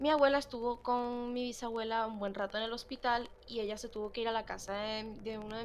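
A woman's fairly high voice at a moderate pace, fairly even in intonation, with music in the background. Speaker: podcast co-host. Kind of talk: casual chat.

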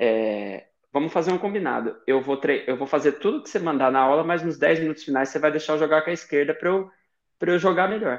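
Over a quiet background, a man with a fairly high pitch and ordinary pitch variation speaks at a fairly quick pace. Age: 20s. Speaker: Paralympic table tennis athlete. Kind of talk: interview. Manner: halting, frequent repetitions.

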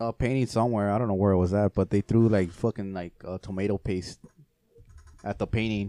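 A man with a Spanish accent speaks at a fairly quick pace with a fairly low pitch and a dark, mellow tone. His intonation is monotone and flat, and the sound is dry and close with no echo. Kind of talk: casual chat.

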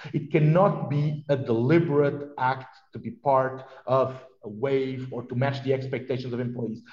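A man with a Portuguese accent speaks at a fairly slow pace, somewhat breathy and fairly high in pitch. His tone is dark and mellow, with fairly even intonation. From southern Portugal (Vila Real). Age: 40s. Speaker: TV technology executive. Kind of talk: interview. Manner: hesitant with fillers.

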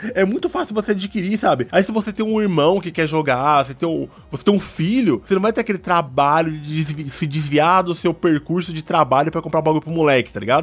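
With a high pitch and lively intonation, a man talks at a fairly quick pace in an animated tone, with hardly any pauses. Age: 30s. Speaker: podcast host. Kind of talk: casual chat.

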